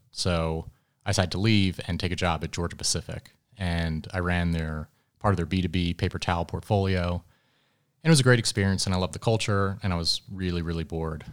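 A very fast voice with an American accent and fairly even intonation, in a very clean recording with a silent background. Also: man, very deep, low pitch for a man. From Philadelphia area, US. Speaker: startup executive, former Marine. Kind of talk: interview conversation. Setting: conference venue.

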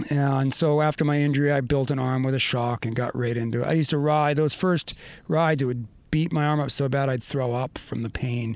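Man with an American accent at a fairly quick pace, intonation fairly even. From US Northeast, Maine. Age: 50s. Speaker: surfer and adaptive athlete. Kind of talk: casual interview. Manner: high-energy.

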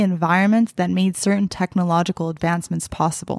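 On a very clean recording with a silent background and a dry, close sound with no echo, a normal speaking voice moves at a fairly quick pace with fairly even intonation. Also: woman. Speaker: podcast host. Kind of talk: interview conversation.

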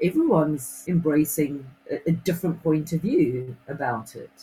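Dark and mellow in tone, the woman's fairly low voice comes across somewhat breathy. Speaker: radio co-host. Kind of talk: casual chat.

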